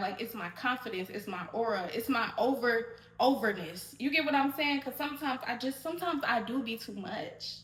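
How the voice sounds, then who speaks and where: A loud woman speaks fairly quickly in a high pitch against noticeable background noise. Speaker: podcast host. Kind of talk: solo podcast monologue. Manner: loud, projected voice; animated, fast rambling.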